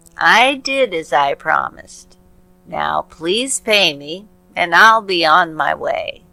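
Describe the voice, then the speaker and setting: A female-sounding put-on character voice speaks at a middle pitch and a fairly slow pace. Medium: read story. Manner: calm, self-assured.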